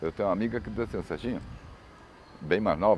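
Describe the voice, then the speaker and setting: Vocal fry paired with lively intonation. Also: man. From Brazil, Florianópolis. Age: 60s. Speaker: photojournalist. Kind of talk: interview.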